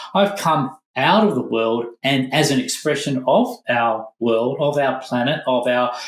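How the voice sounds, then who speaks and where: A man speaks fairly slowly at medium pitch with hardly any pauses. His pitch varies in an ordinary way and his loudness stays very even. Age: 60s. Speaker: former monk, meditation teacher. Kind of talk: podcast interview. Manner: halting, self-correcting.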